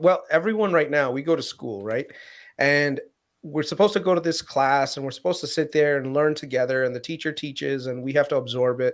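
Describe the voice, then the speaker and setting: A man with a fairly high pitch and ordinary pitch variation is heard in a very clean recording with a silent background. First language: Gujarati or Hindi. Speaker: finance podcast co-host. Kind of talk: casual chat.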